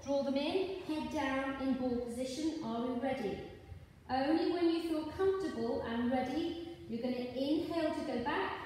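A woman talks at a moderate pace in a high pitch with ordinary pitch variation. Strong room echo and light background noise surround her voice. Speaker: pilates instructor. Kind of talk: exercise class instruction. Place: gym. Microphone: camera far.

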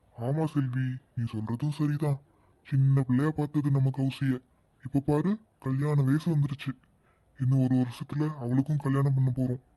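A man's cartoonish character voice at medium pitch, monotone and flat, fairly slow, with very even loudness. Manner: calm, soft-spoken.

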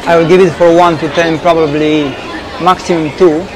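Crowd noise can be heard in the background. The intonation is monotone and flat. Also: man. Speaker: coffee reviewer. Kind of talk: casual vlog review. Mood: unimpressed, candid. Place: cafe.

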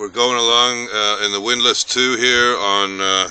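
Recorded dry with no echo, a man speaks with ordinary pitch variation. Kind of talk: casual vlog narration. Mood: relaxed, pleased. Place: boat. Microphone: phone near.

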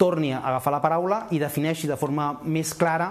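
Pitch varies in an ordinary way as a man talks at a moderate pace. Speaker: politician interviewee. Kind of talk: interview answer. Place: home room.

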